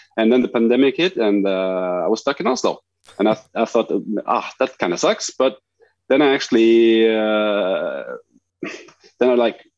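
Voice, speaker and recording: With a Norwegian accent and medium pitch, a man speaks at a moderate pace and very even loudness, using ordinary pitch variation and long, frequent pauses. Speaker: street photographer. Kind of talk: interview. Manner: halting, many fillers.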